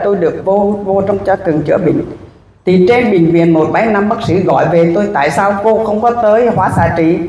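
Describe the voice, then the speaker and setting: A woman at a fairly slow pace, with ordinary pitch variation, audible room echo and light background noise. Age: 60s. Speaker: cancer patient. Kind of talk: testimony. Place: hall. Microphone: handheld.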